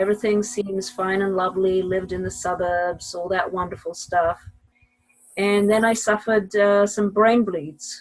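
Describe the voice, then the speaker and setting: A woman with an English accent speaks at a moderate pace and medium pitch, with fairly even intonation. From Israel. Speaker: mathematician and professor. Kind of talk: podcast interview.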